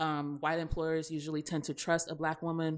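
A woman's very deep, low voice in a monotone, flat intonation, with an American accent, in a very clean recording with a silent background. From US South. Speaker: podcast host. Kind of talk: casual chat.

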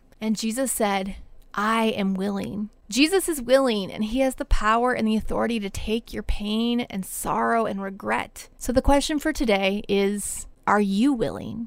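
A woman with an ordinary speaking voice talks at a moderate pace. Her pitch is fairly high, with ordinary pitch variation. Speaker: life coach and spiritual director podcaster. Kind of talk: Bible teaching podcast.

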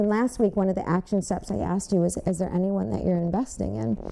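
This voice belongs to a woman. She speaks at a medium pitch. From Michigan, Westland. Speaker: church member giving testimony. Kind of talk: testimony.

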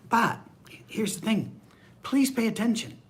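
Audible room echo surrounds a man as he talks. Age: 60s. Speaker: pastor. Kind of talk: bible study. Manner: casual conversational.

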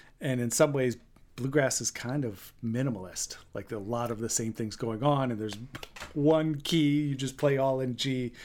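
In an American accent, a man has a plain, everyday voice at a medium pitch, with fairly even intonation and a moderate pace. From Maine, US. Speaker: banjo player. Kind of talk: interview.

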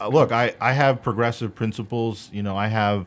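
On a very clean recording with a silent background, a man with a Chicago accent talks at a moderate pace and a fairly low pitch. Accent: Chicago American. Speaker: political candidate. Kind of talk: radio interview.

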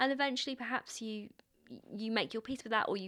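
This woman talks with a London accent. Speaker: playwright. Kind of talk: interview.

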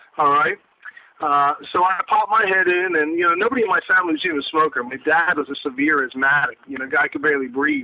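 Against noticeable background noise, a man with an American accent speaks very fast in a high pitch with lively intonation. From South Jersey. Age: 30s. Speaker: high school history teacher and pipe seller. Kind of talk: casual interview. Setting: phone call.

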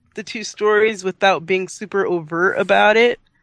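The sound is dry and close, with no echo. A woman talks in an ordinary speaking voice at a medium pitch, with fairly even intonation. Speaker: podcast co-host, film discussant. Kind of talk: casual chat.

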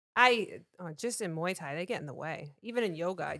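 A woman speaks at a medium pitch and a moderate pace, her tone bright and sharp with ordinary pitch variation. The recording is very clean, with a silent background. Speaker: co-host's wife. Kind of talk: casual chat.

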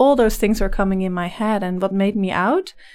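A woman with a slight Dutch accent and a medium-pitched voice. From Netherlands. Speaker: life coach. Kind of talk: interview. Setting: studio.

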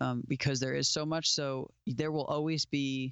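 The speaker has an American accent and a monotone, flat intonation. The pace is fairly slow. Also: man. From South Florida, US. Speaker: musician and studio owner. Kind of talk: casual interview. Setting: video call.

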